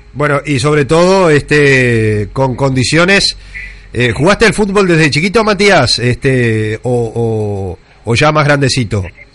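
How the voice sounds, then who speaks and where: At a fairly slow pace, a man with a fairly high pitch makes very wide pitch swings while his loudness stays very even over noticeable background noise. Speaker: radio host. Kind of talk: radio interview.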